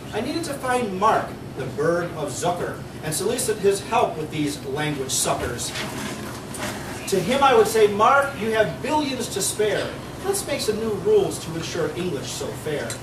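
Over noticeable background noise, a man with a high pitch speaks at a moderate pace. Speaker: open mic reader. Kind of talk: humorous poetry reading. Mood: playful, comic. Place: cafe.

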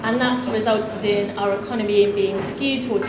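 Through noticeable background noise and audible room echo, a woman talks at a fairly quick pace. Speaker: campaign group director and panel chair. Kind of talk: panel chairing. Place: meeting room.

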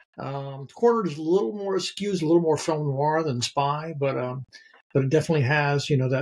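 With an American accent, a man speaks at a moderate pace in a fairly high, somewhat breathy voice with ordinary pitch variation, against a quiet background. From North Carolina, US South. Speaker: theater professor and novelist; theater professor. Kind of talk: casual film discussion. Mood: relaxed, thoughtful. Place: home room.

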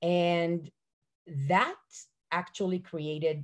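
A woman talks at a fairly slow pace. The background is quiet. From Israel. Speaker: early childhood educator. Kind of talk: panel talk. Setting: video call. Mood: warm, enthusiastic. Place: home room. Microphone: video call.

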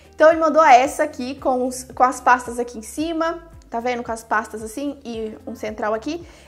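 A woman speaks in an animated tone, her pitch rising and falling in an ordinary way. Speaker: YouTuber, phone customization. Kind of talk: casual video commentary.

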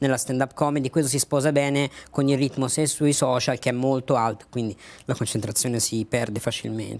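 This man has a Tuscan accent. His pitch variation is ordinary. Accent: Tuscan Italian. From Tuscany, Lucca; Tuscany, Italy. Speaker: stand-up comedian; comedian guest. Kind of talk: casual interview. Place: studio. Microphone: lapel.

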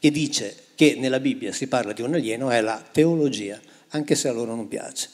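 Over a quiet background, a man talks at a moderate pace and medium pitch. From northwestern Italy, near France. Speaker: Bible translator and author; guest. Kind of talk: public talk on stage. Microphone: handheld.

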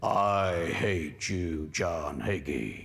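A man puts on a character voice, raspy and very deep in pitch. The recording is very clean, with a silent background. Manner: hateful.

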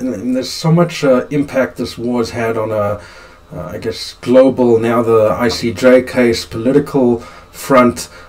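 A man speaks at a fairly slow pace with ordinary pitch variation. Noticeable background noise runs under his voice. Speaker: lawyer host. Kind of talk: interview conversation.

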